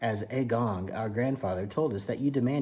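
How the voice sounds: The pitch varies in an ordinary way as a natural reading voice goes on.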